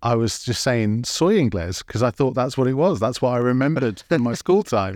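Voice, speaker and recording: With an English accent, a man speaks at a fairly quick pace and medium pitch, his intonation lively and his loudness very even. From England. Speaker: podcast host. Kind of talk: interview.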